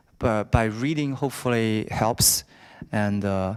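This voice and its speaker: A man speaks fairly slowly in a Chinese accent, his medium pitch held to fairly even intonation. The recording is very clean, with a silent background. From China. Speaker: alumnus speaker, business student. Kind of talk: Q&A discussion at a talk. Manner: halting, many fillers.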